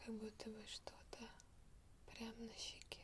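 The speech is whispered. A woman delivers it very slowly. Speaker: relaxation video host. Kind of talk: soft-spoken relaxation talk. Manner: soft, hushed ASMR voice.

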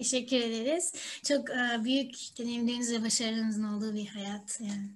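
A female voice, high in pitch, its variation ordinary. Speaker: interviewer. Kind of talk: interview questions. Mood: friendly, smiling.

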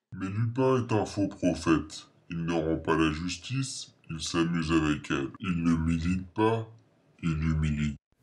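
A calm tone over a quiet background. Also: man, very deep, low pitch for a man, moderate pace. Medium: short film. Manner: calm, cold, formal.

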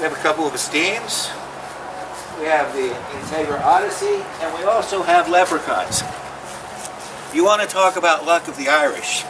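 Noticeable noise sits behind this recording. A man speaks at a moderate pace with a high pitch. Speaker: RV salesman. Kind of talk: sales pitch, pitchman-style dealership lot promo. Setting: outdoors on dealership lot. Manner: animated; salesy, upbeat, direct-address patter. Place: open country.

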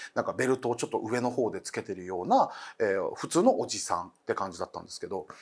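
A man talks, and the background stays quiet. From Okinawa; Japan. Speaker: comedian and ghost story teller; comedian, ghost story teller. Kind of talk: storytelling. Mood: calm, narrative. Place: studio.

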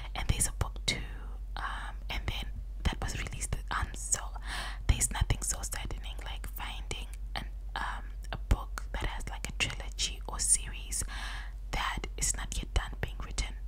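A soft-spoken woman whispers at a moderate pace, with long, frequent pauses and light background noise. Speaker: ASMR creator. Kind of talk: soft casual chat, ASMR-style. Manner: soft close-mic ASMR whisper. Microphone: studio mic.

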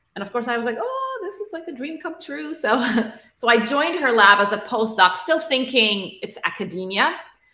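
With hardly any pauses, a woman speaks at a moderate pace in a high pitch, her pitch swinging very widely and her loudness rising and falling sharply, all with audible room echo. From Middle East (Egypt, Kuwait, Abu Dhabi). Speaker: tech founder and CEO; guest. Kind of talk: interview. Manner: repetitive fillers, restarts. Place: home room.

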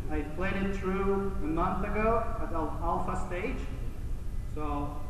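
A man's voice carries audible room echo. Noticeable background noise is present. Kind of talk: conference presentation. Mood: relaxed, joking. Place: hall. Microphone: pa.

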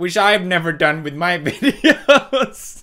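A wheezy, put-on character voice at middle pitch moves at a fairly slow pace in a very clean recording with a silent background. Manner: wheezing laugh.

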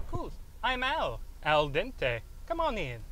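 A man's put-on character voice in an Italian accent, extremely high in pitch and fairly slow, with clear background noise. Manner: playful, jokey.

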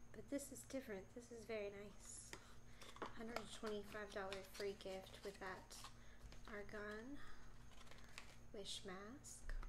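There is noticeable background noise as a woman speaks with long, frequent pauses. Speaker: unboxing vlogger. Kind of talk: ASMR unboxing talk to camera. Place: home room. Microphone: phone near.

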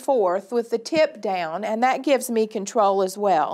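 The pace is moderate. Behind the voice, the background stays quiet. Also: woman. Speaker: extension educator. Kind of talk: tutorial. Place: studio.

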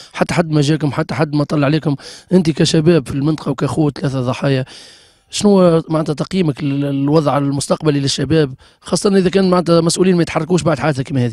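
Man with a Tunisian accent, fairly quick pace, fairly even intonation, dry and close sound with no echo. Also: fairly high pitch for a man. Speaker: TV reporter. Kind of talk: field interview.

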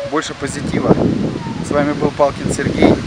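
A man at a moderate pace, dry sound with no echo, loud background noise. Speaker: fitness trainer. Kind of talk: tutorial. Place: garden. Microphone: phone near.

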